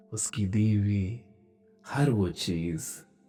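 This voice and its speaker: There is music in the background. A man speaks at a fairly low pitch with ordinary pitch variation. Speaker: meditation guide. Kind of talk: guided meditation. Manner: slow.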